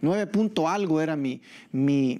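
A man talks with lively intonation. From El Salvador. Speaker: pastor. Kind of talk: sermon. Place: church. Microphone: lapel.

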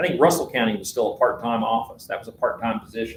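A man talks with a Southwest Virginia accent. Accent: Southwest Virginia Appalachian. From Southwest Virginia (Richlands). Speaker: attorney. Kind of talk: public hearing testimony. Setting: public hearing room. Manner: halting, many fillers.

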